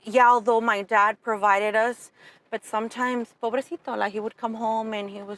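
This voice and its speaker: A woman's fairly high voice at a moderate pace, fairly even in intonation, with a dry, close sound and no echo. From Southern California (Pomona, Fontana), born in Mexico. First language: Spanish. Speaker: entrepreneur, insurance agency owner. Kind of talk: interview conversation.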